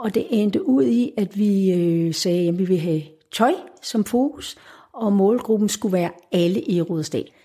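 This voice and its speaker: A woman speaks at medium pitch with a dark, mellow tone. Her intonation is lively. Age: 60s. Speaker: retired educator and volunteer activist. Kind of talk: casual interview. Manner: halting.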